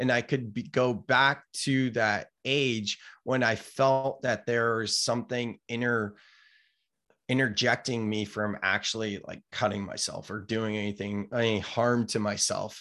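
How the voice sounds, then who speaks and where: A man with an American accent speaks at a fairly slow pace in a medium pitch, his tone bright and sharp and his intonation fairly even, over a quiet background. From California, Silicon Valley. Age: 30s. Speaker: entrepreneur and author. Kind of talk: casual interview chat.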